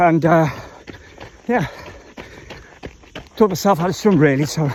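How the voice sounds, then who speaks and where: A man with a South African accent speaks at a fairly quick pace amid noticeable background noise. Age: 50s. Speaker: triathlete vlogger. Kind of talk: casual vlog monologue while running. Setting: outdoors on a trail run.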